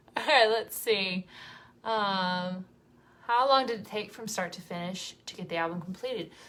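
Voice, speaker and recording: Speaking in an American accent, a woman uses a bright, sharp tone at medium pitch and moderate pace, with ordinary pitch variation and big swings in loudness. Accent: Southern US, varies in strength. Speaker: singer in a vocal group. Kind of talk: live stream Q&A chat. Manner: casual, with fillers.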